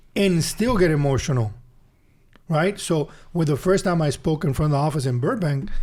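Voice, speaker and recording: A man with a Spanish accent talks at a fairly high pitch and a moderate pace. His tone is dark and mellow, with lively intonation. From Honduras. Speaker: business speaker. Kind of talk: interview testimony. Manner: halting.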